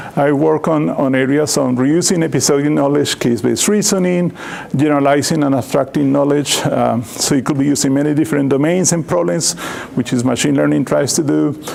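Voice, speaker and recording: With audible room echo and noticeable background noise, a man talks at a fairly quick pace in a fairly high pitch, keeping his loudness very even and his pitch variation ordinary. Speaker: computer science professor. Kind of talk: lecture. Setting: seminar talk with microphone.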